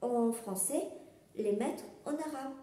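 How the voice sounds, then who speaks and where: A woman's fairly high voice, very slow and lively in intonation, with audible room echo and noticeable background noise. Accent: slight Algerian. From Algeria. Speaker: knitting and crochet podcaster, pattern designer. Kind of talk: casual podcast monologue. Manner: hesitant, many filler sounds.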